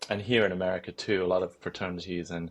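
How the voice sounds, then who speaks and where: A man with a British accent at a very fast pace, against a quiet background. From United Kingdom. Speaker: clinical psychologist. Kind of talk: podcast interview.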